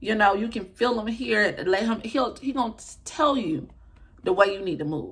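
With an American accent, a woman speaks at a moderate pace in a fairly high, somewhat breathy voice with lively intonation. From US South, Atlanta, Georgia. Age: 20s. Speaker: YouTuber, lifestyle vlogger. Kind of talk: casual vlog monologue. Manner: talkative, animated. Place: home room. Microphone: phone near.

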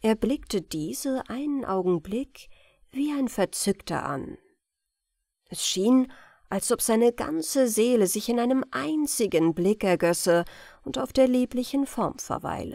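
A woman talks at a very slow pace in a calm, soothing tone that is dark and mellow, with very wide pitch swings. The recording is very clean with a silent background and a dry, close sound with no echo. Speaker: audiobook narrator. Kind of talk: bedtime audiobook reading of a classic ghost story, scripted narration. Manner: slow, soft, calm and soothing, gentle storytelling pace.

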